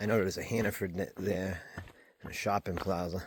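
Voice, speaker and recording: A man with a plain, everyday voice talks at a fairly quick pace and fairly low pitch, keeping his intonation fairly even. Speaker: thru-hiker vlogger. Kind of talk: casual vlog narration. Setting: outdoors on hiking trail.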